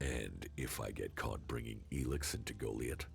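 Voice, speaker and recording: Clear background noise runs under the recording. A man puts on a character voice at a moderate pace. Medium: video game. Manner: terse, flat.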